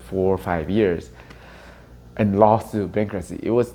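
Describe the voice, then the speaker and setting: A man with a Chinese accent speaks in a fairly low pitch at a moderate pace. His intonation is fairly even. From Taiwan (Taipei), moved to US at 13. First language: Mandarin Chinese. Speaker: real estate agent leader. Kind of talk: interview testimony.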